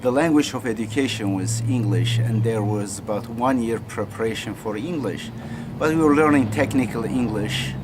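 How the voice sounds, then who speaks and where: In a Turkish accent, a man speaks at a moderate pace and medium pitch with ordinary pitch variation, amid noticeable background noise and audible room echo. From Turkey. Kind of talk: personal story. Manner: halting.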